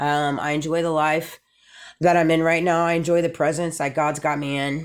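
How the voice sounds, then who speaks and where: This woman talks at a moderate pace in a very deep, low pitch. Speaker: vlogger. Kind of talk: casual monologue vlog. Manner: loud; animated.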